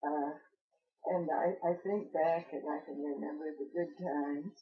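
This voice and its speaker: At a moderate pace broken by long, frequent pauses, a woman with an American accent speaks at a very deep, low pitch. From southern Illinois (Palestine, from age 3). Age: 80s+. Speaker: local elder interviewee. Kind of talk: oral history interview. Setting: in her home. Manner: halting, many hesitations.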